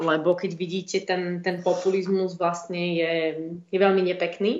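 A woman at a fairly slow pace, with monotone, flat intonation. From eastern Slovakia, Stará Ľubovňa. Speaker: EU parliament staffer. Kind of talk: interview.

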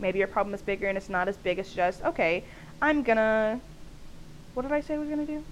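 A woman's very fast, animated speech at a fairly high pitch, with lively intonation and long, frequent pauses. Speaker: podcast host. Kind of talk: casual solo monologue. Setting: home recording, staticky audio. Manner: loud; animated, laughing often.

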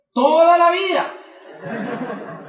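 In a room with audible echo, a man talks in a raised, projected voice. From Colombia, Boyacá. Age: 20s. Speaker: network marketing motivational speaker. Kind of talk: motivational talk.

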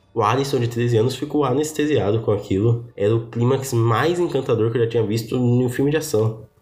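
Against noticeable background noise, a man of medium pitch talks at a fairly quick pace, his loudness very even and his intonation fairly even. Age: 20s. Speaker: podcast host. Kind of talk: personal monologue, casual.

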